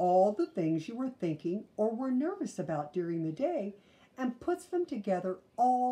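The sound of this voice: What comes through is an unforced reading voice.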